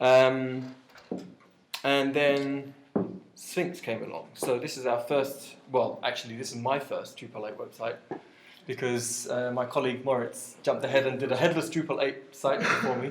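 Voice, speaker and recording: A man at a medium pitch and moderate pace, fairly even in intonation, with audible room echo. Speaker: web developer giving a meetup talk. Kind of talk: conference talk. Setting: meetup with live audience. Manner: hesitant, many fillers.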